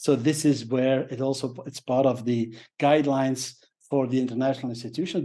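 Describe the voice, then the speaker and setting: A man with a Flemish accent talks at a fairly quick pace in a medium pitch. His tone is dark and mellow, against a quiet background. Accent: Belgian (Flemish) English. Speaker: professional speaker. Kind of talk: interview. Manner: hesitant, many fillers.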